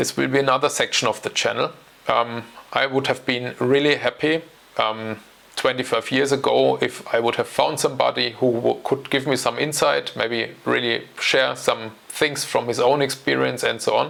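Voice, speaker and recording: A man speaks with a German accent and very even loudness. Noticeable background noise sits behind him. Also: moderate pace. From Germany. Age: 40s. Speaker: options trading educator. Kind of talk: channel introduction talk. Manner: hesitant, with fillers.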